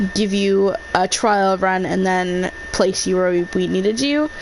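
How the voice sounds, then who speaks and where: A woman at medium pitch, fairly slow delivery, noticeable noise in the background. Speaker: gaming streamer. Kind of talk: live gameplay commentary. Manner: quiet, soft-spoken at times; hesitant, many fillers.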